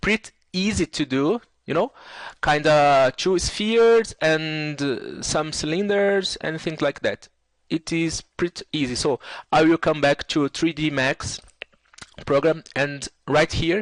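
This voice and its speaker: A man's fairly high voice at a fairly slow pace, with ordinary pitch variation, dry, close sound with no echo and a quiet background. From Brazil. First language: Portuguese. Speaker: 3D software tutor. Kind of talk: tutorial. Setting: screen recording. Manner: halting, many fillers.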